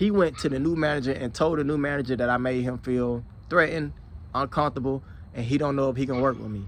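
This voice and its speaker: A man with an American accent speaks at a very fast pace. His pitch is medium. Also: ordinary pitch variation. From Alabama, US South. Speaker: security professional and YouTuber. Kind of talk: casual vlog monologue. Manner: conversational, with repetitions and fillers.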